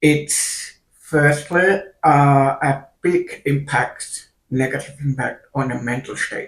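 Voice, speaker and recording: Very slowly, a man speaks in a fairly high pitch with a somewhat breathy sound and fairly even intonation. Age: 30s. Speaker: video creator with hearing loss and kidney failure. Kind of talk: personal vlog monologue. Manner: halting.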